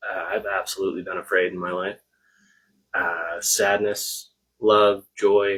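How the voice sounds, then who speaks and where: A soft-spoken man talks at a fairly slow pace. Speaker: co-host of a spiritual livestream. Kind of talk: casual live-stream chat. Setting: live video stream.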